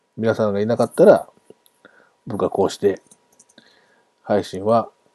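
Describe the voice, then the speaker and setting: A man talks at a moderate pace in a fairly low pitch with a dark, mellow tone. His intonation stays fairly even, and the sound is dry and close with no echo. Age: 40s. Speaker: sports podcast host. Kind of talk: farewell monologue. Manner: casual with frequent laughs.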